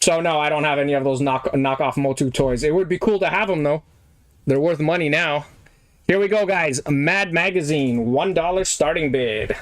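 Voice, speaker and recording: Against noticeable background noise, a man with a fairly high voice keeps a moderate pace, very even loudness and ordinary pitch variation. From Poland (Poznań). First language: Polish. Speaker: online auction seller. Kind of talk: live auction stream chat. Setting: livestream. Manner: casual, conversational.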